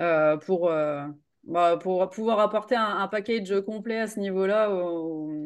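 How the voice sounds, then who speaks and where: A woman talks at a fairly low pitch with ordinary pitch variation, set against a quiet background. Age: 30s. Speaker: nutrition and sports coach. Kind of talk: interview. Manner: casual, hesitant.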